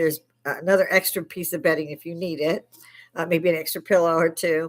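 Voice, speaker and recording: Recorded very cleanly against a silent background, a woman with a fairly low pitch speaks in a monotone, flat way, with big swings in loudness. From Chicago, Illinois. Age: 60s. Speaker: army veteran and livestream host. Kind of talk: casual livestream chat. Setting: home bar, live stream. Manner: informal, swearing, some stammering.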